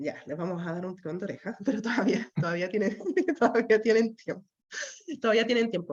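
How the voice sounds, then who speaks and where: A woman speaks at a fairly quick pace, her medium pitch moving with ordinary variation. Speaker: course instructor. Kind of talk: online class wrap-up. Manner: fast.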